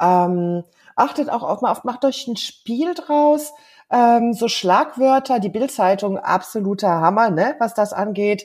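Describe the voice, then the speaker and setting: A very slow pace with lively intonation. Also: woman, fairly high pitch for a woman. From Germany. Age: 50s. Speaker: life coach. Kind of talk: casual interview.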